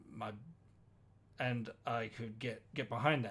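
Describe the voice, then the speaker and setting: A somewhat breathy man's voice at a very slow pace, with an Australian accent. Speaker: podcast co-host. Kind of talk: casual chat. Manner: halting.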